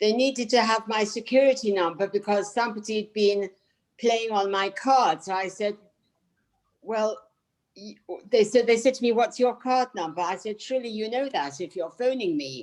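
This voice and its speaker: Using a British accent, a woman speaks at a moderate pace and fairly high pitch with ordinary pitch variation. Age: 70s. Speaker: audience member asking a question. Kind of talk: audience question.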